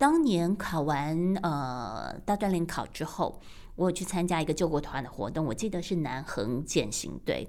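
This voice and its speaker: Vocal fry, a fairly slow pace and lively intonation. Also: woman, fairly low pitch for a woman. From Taiwan. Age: 50s. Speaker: radio broadcaster. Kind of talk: personal podcast monologue.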